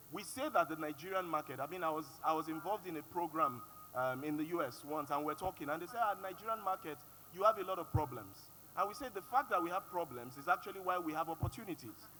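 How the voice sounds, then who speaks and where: Over music in the background, a man speaks at a very fast pace and high pitch with lively intonation. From Nigeria (Yoruba). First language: Yoruba. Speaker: panelist. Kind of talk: panel discussion.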